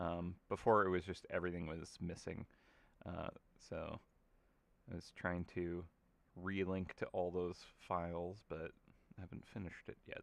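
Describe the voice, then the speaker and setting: Mumbling, a man speaks at a moderate pace with a very deep, low pitch. His intonation stays monotone and flat, with long, frequent pauses. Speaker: game artist hosting live stream. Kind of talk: casual live stream chat while painting. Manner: casual, filler-heavy.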